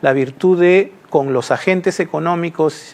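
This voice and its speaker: High-pitched male voice with ordinary pitch variation. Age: 60s. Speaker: construction industry executive. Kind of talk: TV interview.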